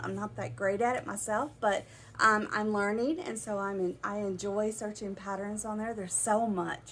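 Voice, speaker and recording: A woman speaks in an American accent at a moderate pace. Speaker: yarn shop owner. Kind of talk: casual video talk. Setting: in her shop. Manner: casual, with many fillers.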